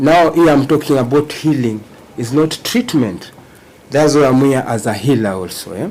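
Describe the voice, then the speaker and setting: Lively intonation at a moderate pace, with a Kenyan accent and noticeable background noise. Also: man, fairly high pitch for a man. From Kenya, Banyore community. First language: Luhya (Banyore). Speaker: Rastafarian traditional healer, court witness. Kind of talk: court testimony under questioning. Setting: courtroom.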